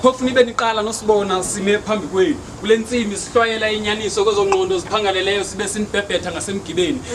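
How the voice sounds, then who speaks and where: Over noticeable background noise, a man with a high pitch speaks at a very fast pace with fairly even intonation. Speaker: performance poet. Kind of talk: spoken word poetry performance.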